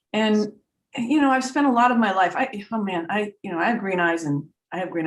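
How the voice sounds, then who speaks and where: Talking at a very fast pace, a woman with an American accent makes very wide pitch swings. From US Northeast (Vermont). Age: 60s. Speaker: trance medium and spiritual teacher. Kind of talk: casual chat. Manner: halting, repeats words.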